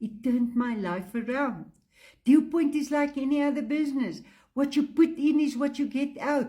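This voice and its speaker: Her voice is high for a woman, with a dark, mellow tone and ordinary pitch variation, and she speaks at a fairly slow pace. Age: 70s. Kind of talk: testimonial sales pitch.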